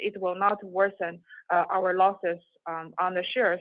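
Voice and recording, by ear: A woman's medium-pitched voice at a fairly slow pace, in a dry, close sound with no echo.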